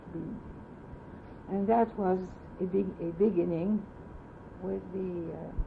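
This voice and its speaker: A woman speaks at a fairly slow pace in a French accent, with long, frequent pauses and a flat, monotone delivery at a medium pitch. Her loudness swings widely, and the room echo is audible. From France. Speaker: oral history interviewee. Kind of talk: oral history interview. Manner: halting.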